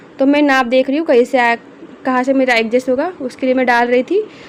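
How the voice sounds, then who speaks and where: Over noticeable background noise, a woman talks with high pitch at a moderate pace. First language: not Hindi (speaking Hindi). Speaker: tailoring teacher. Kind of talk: tutorial. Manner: halting.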